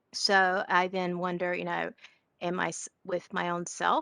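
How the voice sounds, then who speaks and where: Against a quiet background, a woman with a strong Southern accent speaks at medium pitch in a bright, sharp tone, with a dry sound and no echo. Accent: strong Southern twang. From Georgia (US South). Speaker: session participant, educator. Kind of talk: casual discussion contribution. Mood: reflective, thoughtful. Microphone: video call.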